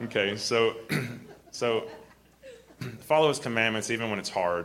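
This man talks at a moderate pace. Noticeable background noise and audible room echo surround his voice. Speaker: preacher / Bible teacher. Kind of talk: sermon. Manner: halting, repetitive.

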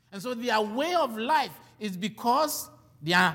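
A man talks in a raised, projected voice at a high pitch. His pitch swings very widely at a fairly slow pace. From Ghana. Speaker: preacher. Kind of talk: sermon.

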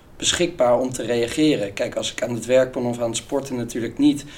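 Noticeable background noise runs under a man's medium-pitched voice, his intonation fairly even. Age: 20s. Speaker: business student and sales employee. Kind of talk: casual interview.

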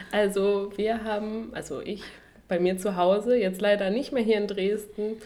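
Audible room echo colors a woman's voice. Her intonation is fairly even. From western Germany, Duisburg (Ruhr area). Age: 20s. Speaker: medical student, podcast co-host. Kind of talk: casual chat.

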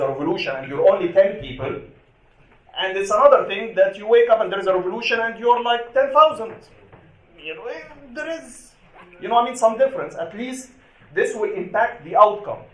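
Against noticeable background noise, a high-pitched man with an Arabic accent talks at a moderate pace, his voice making very wide pitch swings and big swings in loudness between long, frequent pauses. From Egypt. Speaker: activist and journalist. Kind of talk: panel talk. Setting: stage with audience.

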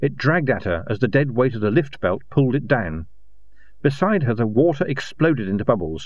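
A man talking at a fairly quick pace, with vocal fry. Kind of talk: literary audiobook narration of a fantasy novel. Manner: formal, even narration.

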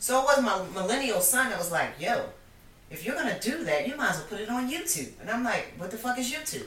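Very fast and animated, a woman speaks at a fairly high pitch with very wide pitch swings. Noticeable background noise and audible room echo fill the recording. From Philadelphia. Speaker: cannabis entrepreneur. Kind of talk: casual chat.

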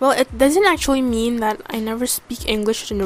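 A woman is speaking. She has an Indonesian accent. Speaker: podcaster. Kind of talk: casual monologue. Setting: home recording. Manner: halting; filler-heavy.

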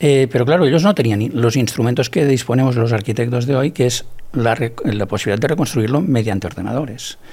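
A man's somewhat breathy voice with a dark, mellow tone, medium pitch, ordinary pitch variation, very even loudness and a fairly quick pace. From Barcelona area, Catalonia, Spain. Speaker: architect and researcher. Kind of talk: interview. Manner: halting, repeats words.

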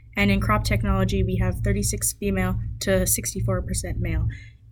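This woman's voice is very deep and low, heard with audible room echo and noticeable background noise. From northern British Columbia. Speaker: podcast host, agriculture student. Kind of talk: scripted narration.

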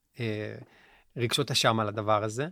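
On a very clean recording with a silent background, a man with a bright, sharp tone talks at a moderate pace with ordinary pitch variation. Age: 40s. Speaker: musician and life coach. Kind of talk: interview conversation. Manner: halting.

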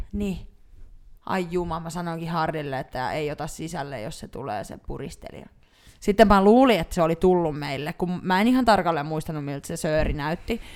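A woman talks at a moderate pace with a fairly low pitch and lively intonation. Her loudness swings widely. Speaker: podcast co-host. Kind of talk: casual chat.

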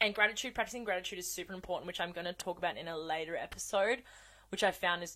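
Bright, sharp, and animated in tone, a woman's voice. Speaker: podcast host. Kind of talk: casual monologue. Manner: fast, high energy.

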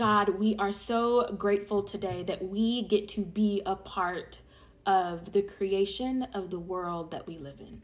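A woman with an ordinary speaking voice talks at a fairly slow pace and a medium pitch. Her intonation is fairly even, with big swings in loudness. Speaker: prayer leader. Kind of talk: fervent public prayer, earnest and rhythmic with repeated phrases. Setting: online audio session for listeners. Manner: conversational and warm when addressing listeners.

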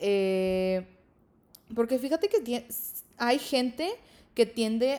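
A woman speaks at a very slow pace. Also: very clean recording, silent background. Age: 20s. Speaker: podcast host. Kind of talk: casual monologue. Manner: filler-heavy, frequent 'este'.

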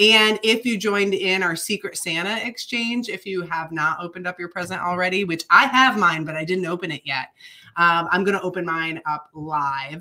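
With an American accent, a woman talks at a moderate pace in a bright, sharp tone with ordinary pitch variation. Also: medium pitch for a woman. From Michigan, US Upper Midwest. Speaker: podcast co-host, runner. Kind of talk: casual chat, live show banter. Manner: playful, animated.

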